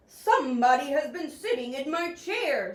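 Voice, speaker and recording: A woman growls in a put-on character voice, pitched high and delivered at a moderate pace. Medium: read story.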